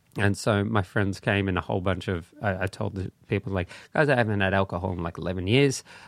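A man talks very fast at a fairly low pitch with an Australian accent. The sound is dry and close with no echo, on a very clean recording with a silent background. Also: ordinary pitch variation. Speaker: comedian. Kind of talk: casual chat. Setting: studio.

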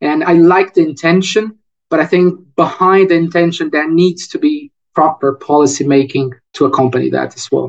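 With a Portuguese accent, a man talks at a moderate pace in a high pitch with ordinary pitch variation. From Brazil, Rio de Janeiro. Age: 30s. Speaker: economist. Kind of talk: interview.

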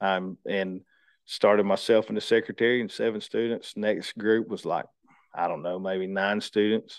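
A man in a north Georgia accent, fairly low in pitch, with monotone, flat intonation. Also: moderate pace. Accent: Southern US (north Georgia). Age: 30s. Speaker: lineman and training school owner. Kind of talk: casual interview.

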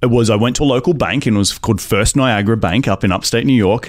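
The delivery is very fast, with lively intonation. The speaker has an Australian accent. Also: man. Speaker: real estate investor. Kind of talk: interview conversation. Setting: small studio at live conference.

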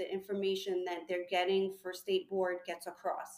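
With an American accent, a woman uses an ordinary speaking voice at medium pitch and a moderate pace. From New York. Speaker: licensed esthetician and aesthetics instructor. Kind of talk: casual interview chat. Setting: remote call.

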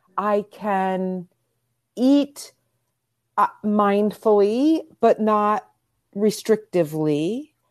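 Very slowly and with long, frequent pauses, a woman of medium pitch speaks with ordinary pitch variation. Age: 50s. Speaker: body image coach. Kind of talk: casual interview.

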